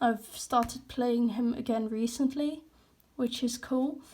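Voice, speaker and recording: A dark, mellow tone at a fairly slow pace. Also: woman. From Netherlands. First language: Dutch. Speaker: artist, hobby YouTuber. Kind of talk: casual sketchbook walkthrough. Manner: casual, hesitant with fillers.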